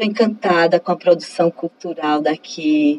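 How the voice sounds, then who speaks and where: A woman has an unremarkable speaking voice with a fairly low pitch. She talks at a fairly slow pace. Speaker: professor and researcher. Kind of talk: interview.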